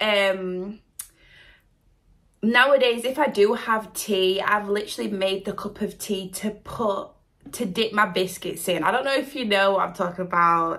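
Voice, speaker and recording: With a British accent, a woman talks at a fairly slow pace in a medium pitch. Her tone is bright and sharp, and her pitch varies an ordinary amount. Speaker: reaction video creator. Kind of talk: casual chat. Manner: animated.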